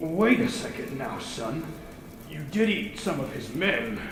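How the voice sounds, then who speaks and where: Using a put-on character voice pitched high for a man, he speaks at a fairly slow pace amid clear echo and clear background noise. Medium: comedy sketch. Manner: condescending, dry.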